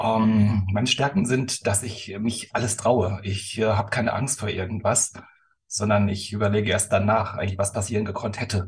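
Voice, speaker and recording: Somewhat breathy and monotone, a man delivers his words in a flat intonation at a moderate pace. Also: fairly low pitch for a man. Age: 50s. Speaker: company executive. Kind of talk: casual chat. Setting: video call.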